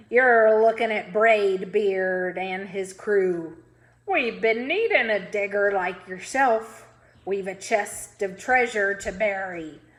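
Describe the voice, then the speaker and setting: Loud and bellowing, a woman in a put-on character voice speaks at a medium pitch and a fairly slow pace. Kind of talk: read-aloud pirate character voice. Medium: read story. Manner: loud, bellowing pirate talk.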